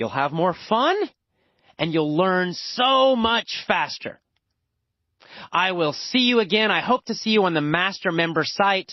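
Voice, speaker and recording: Woman at medium pitch, fairly slow, with lively intonation and long, frequent pauses. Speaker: English teacher. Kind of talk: language lesson. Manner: loud; animated.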